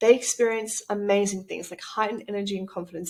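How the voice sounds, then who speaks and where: A woman with a strong Australian accent and a medium pitch. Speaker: business coach and retreat organizer. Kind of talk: promotional presentation. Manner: animated.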